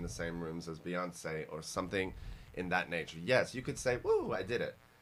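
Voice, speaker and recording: A man's very deep, low voice with a slight Australian accent, animated in tone, at a fairly quick pace. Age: 40s. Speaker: fashion podcast host. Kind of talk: casual podcast interview.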